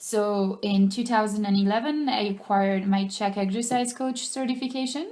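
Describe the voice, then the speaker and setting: Audible room echo surrounds a woman with a French accent speaking at a moderate pace and fairly high pitch with ordinary pitch variation. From France. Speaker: personal trainer. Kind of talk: teleclass self-introduction. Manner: hesitant, frequent ums.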